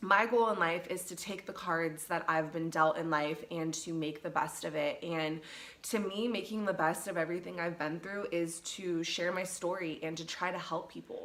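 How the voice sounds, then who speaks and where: Over noticeable background noise, a woman with a fairly low pitch and fairly even intonation speaks at a moderate pace with hardly any pauses. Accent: Pacific Northwest. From Seattle, Washington. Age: 30s. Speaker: mental health vlogger. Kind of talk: casual talk to camera.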